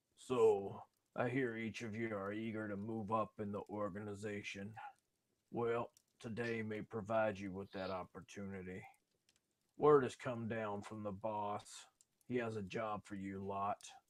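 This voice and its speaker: In a put-on character voice, a man speaks gruffly at a fairly low pitch. His pace is moderate. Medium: actual play. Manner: brusque, contemptuous.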